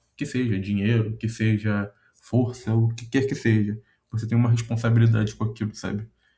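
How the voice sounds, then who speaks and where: A man's medium-pitched, dark, mellow voice, somewhat breathy, at a moderate pace in a monotone, flat intonation. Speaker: content creator. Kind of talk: casual monologue reflection. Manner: hesitant, many fillers.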